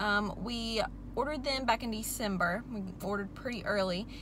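A woman's dry voice with no echo, over light background noise. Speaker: farm vlogger. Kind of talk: casual vlog chat. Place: car. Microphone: phone near.

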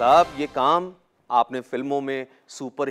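Against music in the background, a man speaks in a dramatic tone at a very slow pace. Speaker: army officer turned anchor and storyteller. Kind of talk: radio and TV show promo narration. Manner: earnest, dramatic, direct address to the audience. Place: studio. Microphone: lapel.

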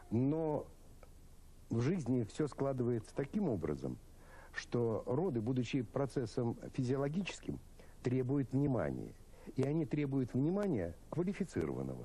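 Long, frequent pauses break up a man's fairly slow, somewhat breathy speech, dark and mellow in tone, with lively intonation and very even loudness. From St. Petersburg, Russia; Russia. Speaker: obstetrician-gynecologist, professor; guest. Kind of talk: televised debate. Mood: calm, explanatory. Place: studio.

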